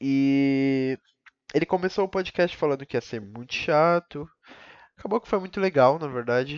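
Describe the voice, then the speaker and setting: A man talks in a normal speaking voice at a fairly high pitch and moderate pace, with ordinary pitch variation and big swings in loudness. The sound is dry and close with no echo, over a quiet background. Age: 20s. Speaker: podcaster, college student. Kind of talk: solo monologue. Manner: rambling, casual slang.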